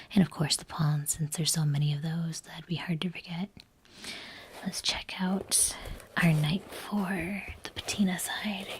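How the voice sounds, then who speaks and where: Someone soft-spoken talks at a fairly slow pace. Background noise is noticeable. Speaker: collector, cosplayer. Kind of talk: ASMR unboxing, soft-spoken talk to camera. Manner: soft, toned down.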